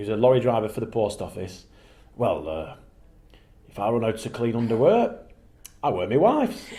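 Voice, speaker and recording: With a dark, mellow tone and a somewhat breathy sound, a man speaks with big swings in loudness and long, frequent pauses. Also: medium pitch for a man, ordinary pitch variation, fairly quick pace. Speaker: TV and radio presenter and pantomime performer. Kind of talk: radio interview answer.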